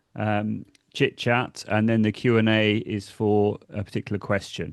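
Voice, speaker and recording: A man with a British accent, fairly low in pitch and fairly slow, in a dry, close sound with no echo and a quiet background. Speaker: education technology consultant, former teacher. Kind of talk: webinar presentation. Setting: online webinar. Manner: friendly, with many filler words.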